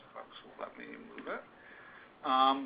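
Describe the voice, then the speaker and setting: A man talks at a medium pitch while noticeable noise sits in the background. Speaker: journalist, editorial director. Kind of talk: webinar presentation. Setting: conference call webinar.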